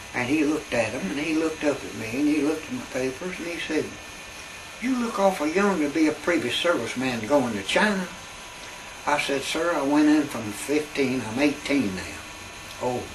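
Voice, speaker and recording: Over noticeable background noise and audible room echo, a speaker with an Appalachian accent uses lively intonation at a moderate pace. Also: man, fairly high pitch for a man. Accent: Appalachian Southern US. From Southwest Virginia (Wise). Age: 80s+. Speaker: army veteran. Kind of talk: oral history interview storytelling.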